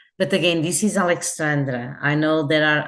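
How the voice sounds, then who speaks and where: Set against a quiet background, a woman speaks with a very deep, low pitch. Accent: Portuguese. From Portugal. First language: Portuguese. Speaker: hotel customer service executive. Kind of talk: interview. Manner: halting, with fillers and restarts.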